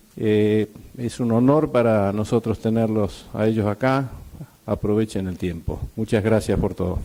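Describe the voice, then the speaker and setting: Speaking at a fairly slow pace, a man uses a fairly low pitch, fairly even intonation and a dark, mellow tone. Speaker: association president giving welcome speech. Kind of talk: welcome speech at a conference. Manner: hesitant, many fillers.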